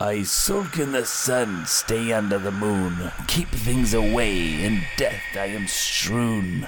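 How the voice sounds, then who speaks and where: Over clear background noise, a put-on character voice speaks at a very slow pace. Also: man, fairly low pitch for a man. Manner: spooky, riddling.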